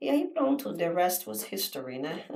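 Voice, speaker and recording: Her pitch is fairly low. The woman speaks at a fairly slow pace. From Brazil, Rio de Janeiro. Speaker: real estate agent. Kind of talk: podcast interview.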